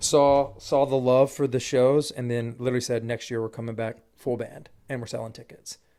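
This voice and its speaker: A man's dark, mellow tone, monotone and flat, with hardly any pauses. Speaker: country music singer. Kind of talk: casual chat. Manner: fast; high energy.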